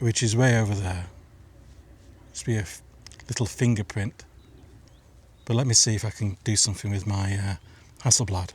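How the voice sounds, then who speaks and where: Somewhat breathy, fairly low male voice at a fairly quick pace, with fairly even intonation and long, frequent pauses. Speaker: landscape photographer. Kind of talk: casual talk to camera. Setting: outdoors.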